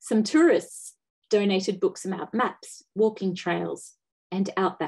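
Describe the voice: Plain reading aloud, with ordinary pitch variation and a quiet background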